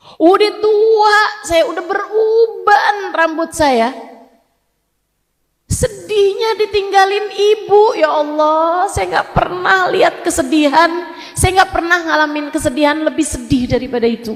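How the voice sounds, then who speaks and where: Extremely high in pitch, a woman speaks with lively intonation. Her pace is fairly slow. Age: 40s. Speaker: female Islamic preacher. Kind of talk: religious lecture. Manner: emotional, conversational.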